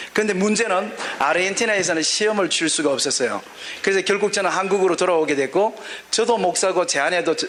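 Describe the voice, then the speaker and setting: A man talks at a very fast pace in a high pitch with ordinary pitch variation. His loudness stays very even against noticeable background noise. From Gyeongsang region, South Korea (born in Daegu). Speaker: pastor. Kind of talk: sermon. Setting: auditorium with audience and interpreter.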